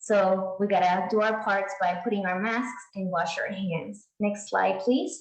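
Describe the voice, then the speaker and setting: A woman speaks fairly slowly at a medium pitch, somewhat breathy, with ordinary pitch variation and hardly any pauses. Audible room echo surrounds her voice. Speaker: pharmacist. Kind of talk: presentation.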